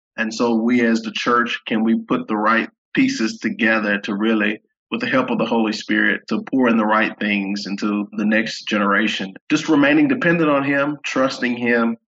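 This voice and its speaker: At a moderate pace, a man talks in a bright, sharp tone at a medium pitch with fairly even intonation. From Baton Rouge, Louisiana. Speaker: Bible professor and associate pastor. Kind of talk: casual interview conversation.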